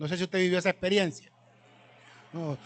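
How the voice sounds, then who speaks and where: An animated man's voice, high in pitch. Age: 60s. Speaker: researcher and cultural speaker. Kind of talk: talk to a live audience. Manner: animated storytelling.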